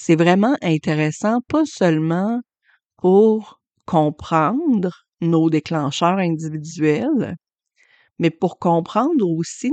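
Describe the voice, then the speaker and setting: A woman with a Quebec accent at a fairly low pitch with ordinary variation, very slow in pace, in a dry, close sound with no echo over a quiet background. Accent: Québécois French. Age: 40s. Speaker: podcast host and human design astrology reader. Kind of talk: solo podcast monologue.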